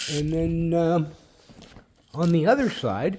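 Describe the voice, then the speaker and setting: A man is speaking here. His pitch is fairly high and his pace fairly slow. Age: 60s. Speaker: car hobbyist video maker. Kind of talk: casual tutorial. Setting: outdoors in backyard. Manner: hesitant, many fillers.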